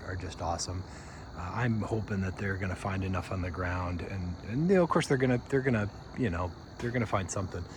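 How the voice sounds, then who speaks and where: A soft-spoken man talks at a fairly low pitch with ordinary variation. Audible room echo surrounds his voice. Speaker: backyard birdwatcher vlogger. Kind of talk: casual video update.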